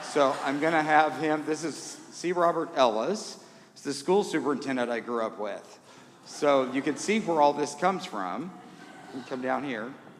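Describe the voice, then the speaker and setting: A man with an American accent talks at a fairly high pitch and a moderate pace. His pitch variation is ordinary, and the room echo is audible. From Indiana. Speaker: concert organist. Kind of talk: concert remarks to audience. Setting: church with audience. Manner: casual, self-deprecating.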